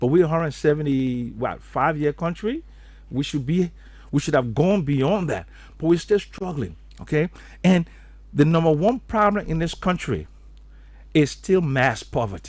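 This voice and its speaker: Somewhat breathy, a man speaks at a moderate pace with long, frequent pauses. His fairly high voice has lively intonation. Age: 70s. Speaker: economist. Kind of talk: radio interview.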